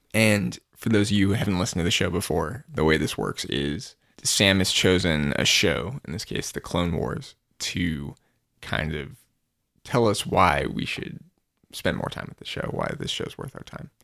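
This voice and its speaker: On a very clean recording with a silent background, a man with a very deep, low pitch and vocal fry swings his pitch very widely. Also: moderate pace. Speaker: podcast co-host. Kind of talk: casual podcast chat.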